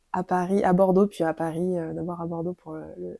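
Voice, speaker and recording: Dry, close sound with no echo around a woman's voice. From Dordogne, southwestern France. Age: 30s. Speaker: doula. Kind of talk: interview. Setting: at home. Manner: halting, many fillers and repetitions.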